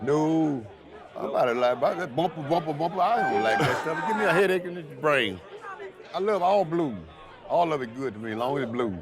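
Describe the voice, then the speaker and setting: A man speaks at a fairly quick pace in a Mississippi accent, his pitch fairly high. His intonation is lively, with crowd noise in the background. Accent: Southern US, Mississippi. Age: 70s. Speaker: juke joint owner. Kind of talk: casual interview.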